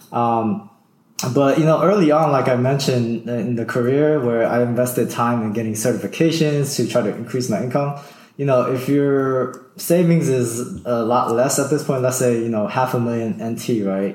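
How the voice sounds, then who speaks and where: This man talks in an unremarkable speaking voice with ordinary pitch variation. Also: medium pitch for a man, moderate pace. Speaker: early retiree, former IT network engineer. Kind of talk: casual interview.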